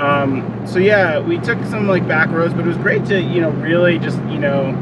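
Ordinary pitch variation at a fairly quick pace, against loud background noise. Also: man. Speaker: travel vlogger. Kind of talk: casual vlog chat. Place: car. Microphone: camera far.

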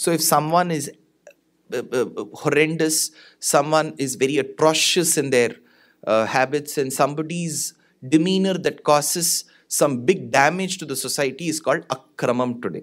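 Against a quiet background, a normal speaking voice goes at a moderate pace with ordinary pitch variation. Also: man, fairly high pitch for a man. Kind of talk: religious discourse. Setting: stage with audience. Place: stage. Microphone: studio mic.

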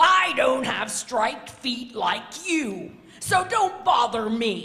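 A woman puts on a character voice, talking slowly at a fairly high pitch with big pitch swings and a bright, sharp tone.

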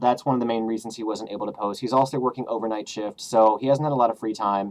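A man is speaking. His pace is very fast. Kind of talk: casual vlog chat. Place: home room. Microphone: webcam.

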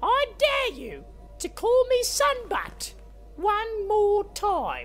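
In a cartoonish character voice, a woman speaks very slowly at an extremely high pitch with a fairly bright tone and very wide pitch swings, over faint background music.

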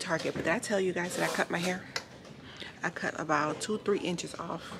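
At a moderate pace and with ordinary pitch variation, a woman talks over noticeable background noise. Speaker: vlogger. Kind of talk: casual vlog chat. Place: shop. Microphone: phone near.

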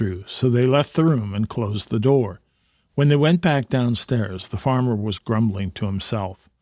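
Reading aloud in a natural voice against a quiet background

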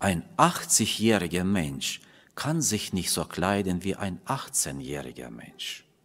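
A man with a very deep, low voice and vocal fry talks very slowly, his pitch swinging very widely. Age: middle-aged. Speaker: preacher. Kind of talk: sermon. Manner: halting. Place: church. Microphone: podium.

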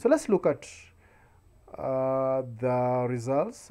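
A dark, mellow tone comes through in this man's speech. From Kenya. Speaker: YouTube tutorial creator; online seller tutor. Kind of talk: screen-recorded tutorial. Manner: frequent filler hesitations. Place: home room. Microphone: webcam.

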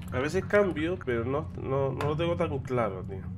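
Speaking with lively intonation at a fairly slow pace, a man holds a medium pitch.

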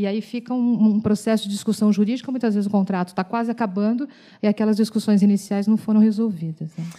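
A woman with a fairly high, somewhat breathy voice and a dark, mellow tone talks at a very fast pace against a quiet background. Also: fairly even intonation. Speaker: audience member. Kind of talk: audience question. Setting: auditorium with audience. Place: hall. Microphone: handheld.

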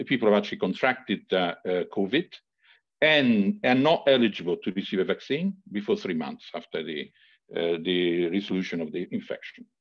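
A man with lively intonation speaks at a moderate pace against a quiet background. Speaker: university leader for health and safety. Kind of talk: formal meeting answers. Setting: video call. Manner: halting, many fillers. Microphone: video call.

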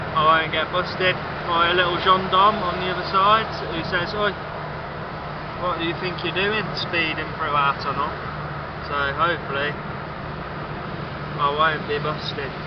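Loud background noise runs under a dry sound with no echo. The pace is moderate, broken by long, frequent pauses. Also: man. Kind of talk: casual vlog chat. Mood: jokey, self-mocking. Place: car. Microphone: phone near.

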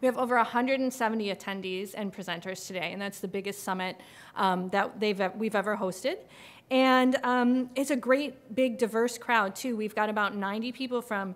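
A woman's voice with ordinary pitch variation at a moderate pace. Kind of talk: welcome speech. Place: hall.

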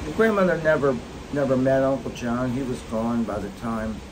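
A man's fairly quick speech with ordinary pitch variation, amid noticeable background noise. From US Mid-Atlantic. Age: 60s. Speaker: grandfather vlogger, retired tax official. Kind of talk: casual storytelling to grandchildren. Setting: outdoors on a cruise ship balcony. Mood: calm reminiscing. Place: boat. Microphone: phone near.

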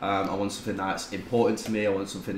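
A man with a British accent speaks at a fairly low pitch, with light background noise and audible room echo. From UK. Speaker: tattoo client; podcast guest. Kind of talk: casual chat. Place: home room.

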